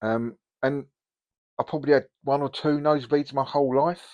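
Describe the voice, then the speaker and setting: Against a quiet background, a man with an English accent is heard in a dry, close sound with no echo. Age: 60s. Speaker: hobby youtuber. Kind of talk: casual vlog. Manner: hesitant, many ums.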